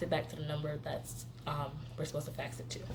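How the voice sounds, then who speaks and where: A woman talks fairly quickly amid noticeable background noise, with audible echo from the room. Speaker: medical assistant vlogger. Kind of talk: casual vlog explanation. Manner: fast.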